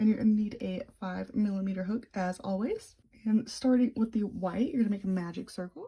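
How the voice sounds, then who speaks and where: Somewhat breathy, a woman talks fairly quickly at a fairly high pitch with a dark, mellow tone. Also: ordinary pitch variation. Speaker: crochet tutorial maker. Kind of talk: tutorial. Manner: casual, chatty.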